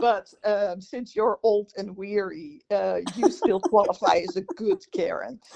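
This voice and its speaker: The speaker has a Dutch accent. The pace is fairly slow, with hardly any pauses. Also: woman. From Netherlands. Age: 60s. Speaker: podcast co-host. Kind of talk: casual chat.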